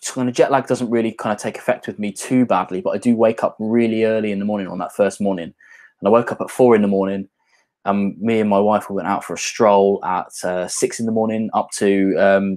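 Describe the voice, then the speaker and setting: Against a quiet background, a man with a British accent talks fairly quickly in a fairly low pitch, his intonation monotone and flat. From English Midlands, near Birmingham. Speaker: whisky YouTuber. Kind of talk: casual livestream chat. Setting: livestream at home on laptop.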